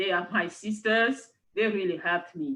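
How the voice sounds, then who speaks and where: With a French accent, a woman speaks at a fairly slow pace and a medium pitch. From Cameroon. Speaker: university lecturer. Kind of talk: interview conversation.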